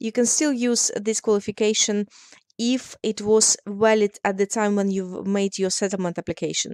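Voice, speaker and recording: A woman speaks with a non-native accent and fairly even intonation. The sound is dry and close with no echo. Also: medium pitch for a woman, moderate pace. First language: not English. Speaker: immigration solicitor. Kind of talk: explainer tutorial.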